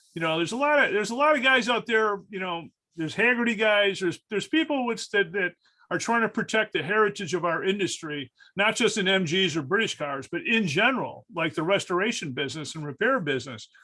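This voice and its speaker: A man talks at a very fast clip in a high voice, his pitch leaping widely up and down. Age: 60s. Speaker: restoration shop owner. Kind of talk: casual roundtable discussion. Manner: halting, many fillers and repetitions.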